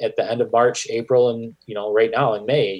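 Over a quiet background, a man with a Michigan accent speaks at a moderate pace. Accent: Michigan, general American. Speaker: podcast host. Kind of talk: casual interview chat.

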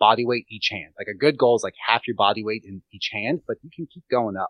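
A man's ordinary speaking voice at medium pitch, with ordinary pitch variation. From Pennsylvania. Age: 30s. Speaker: fitness and nutrition coach. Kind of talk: casual interview chat.

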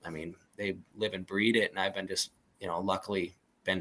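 This is a man with a fairly low pitch and a plain, everyday voice. His intonation stays fairly even. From western Montana (Plains). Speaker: hunting outfitter and guide. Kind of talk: casual chat.

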